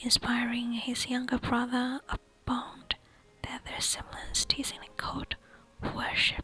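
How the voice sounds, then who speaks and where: Someone is whispering at a very slow pace. There is noticeable background noise. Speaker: ASMR creator. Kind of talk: nonfiction book reading. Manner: whispered.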